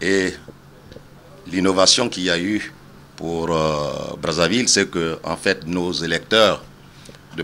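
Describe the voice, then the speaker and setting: A man speaks at a very deep, low pitch and a very slow pace. His intonation is fairly even. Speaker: electoral commission official. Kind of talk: interview. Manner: hesitant, many fillers.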